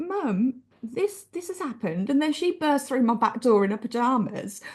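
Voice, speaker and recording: A woman with an English accent, high-pitched, with very wide pitch swings at a moderate pace. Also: quiet background. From England, small town. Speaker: author. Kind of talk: interview.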